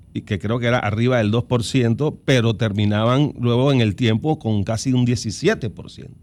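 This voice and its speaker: Speaking at a moderate pace with hardly any pauses, this man keeps a medium pitch and fairly even intonation. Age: 60s. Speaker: lawyer and political analyst. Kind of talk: radio interview. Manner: halting, many false starts.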